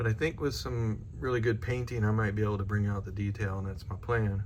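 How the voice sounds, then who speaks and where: A man with a fairly low voice speaks at a moderate pace with ordinary pitch variation, and some room echo can be heard. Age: 60s. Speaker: scale model builder. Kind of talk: tutorial. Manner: casual, hesitant with many fillers.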